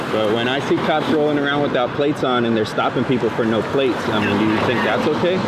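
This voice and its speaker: Amid noticeable background noise, a man talks at a very fast pace and medium pitch, with ordinary pitch variation and very even loudness. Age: 40s. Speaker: copwatch videographer. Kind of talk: casual debate on the street. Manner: animated.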